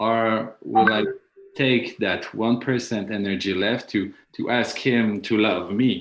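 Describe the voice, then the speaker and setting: A man with a French accent speaks at a very slow pace, his medium pitch held in fairly even intonation. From France. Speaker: panel discussant. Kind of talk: panel discussion. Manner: halting.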